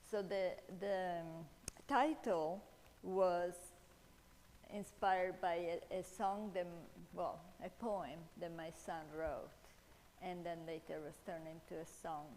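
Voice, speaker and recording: A woman's fairly low voice at a very slow pace, with fairly even intonation, long, frequent pauses and audible room echo. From Italy. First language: Italian. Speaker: author and speaker on mental illness. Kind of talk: talk at church event. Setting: church hall, seated before audience, live-streamed. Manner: halting, many fillers.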